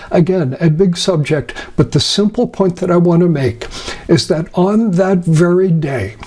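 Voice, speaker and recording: Speaking fairly slowly, a man uses a high pitch with ordinary variation and very even loudness. Noticeable background noise can be heard. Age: 70s. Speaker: astrologer. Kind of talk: lecture. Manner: halting.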